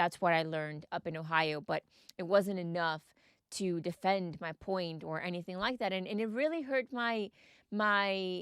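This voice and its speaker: A woman's medium-pitched voice with a Mexican accent, ordinary pitch variation and a moderate pace, dry and close with no echo, in a very clean recording with a silent background. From Texas, Mexican family. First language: Spanish. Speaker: podcast host. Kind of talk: personal storytelling podcast.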